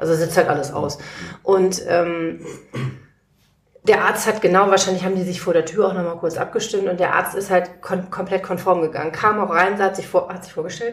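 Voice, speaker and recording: A woman has an unremarkable speaking voice at medium pitch and a fairly quick pace. Her intonation is fairly even, with big swings in loudness. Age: 40s. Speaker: legal assistant and patient. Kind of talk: casual interview. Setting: guest's living room.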